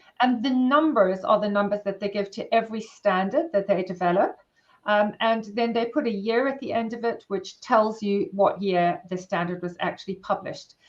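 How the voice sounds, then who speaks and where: A woman with a South African accent talks at a moderate pace. Her pitch is fairly high, with ordinary variation. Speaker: workplace wellbeing consultant and therapist. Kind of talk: interview.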